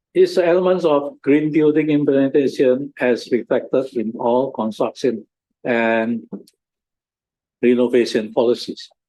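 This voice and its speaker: A man with a fairly high pitch and a dark, mellow tone speaks at a fairly slow pace with ordinary pitch variation. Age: 70s. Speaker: university sustainability expert. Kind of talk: workshop presentation. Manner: halting.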